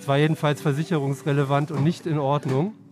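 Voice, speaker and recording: A man rattles off his words very fast, with noticeable noise behind him. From Cologne, western Germany. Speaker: newspaper editor-in-chief. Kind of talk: casual interview. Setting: on a moving S-Bahn train.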